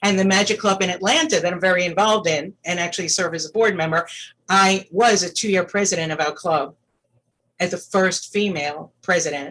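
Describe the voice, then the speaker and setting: With an American accent, a woman talks at a fairly quick pace in an ordinary speaking voice, her medium pitch held in fairly even intonation. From New York City. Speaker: magician. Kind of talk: Q&A talk.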